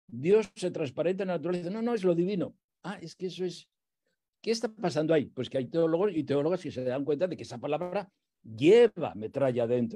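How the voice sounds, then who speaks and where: This man has a high-pitched yet dark, mellow voice, talking at a fairly quick pace with lively intonation and big swings in loudness. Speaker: theologian and priest; priest. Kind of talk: lecture. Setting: video call. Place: home room. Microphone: earbuds.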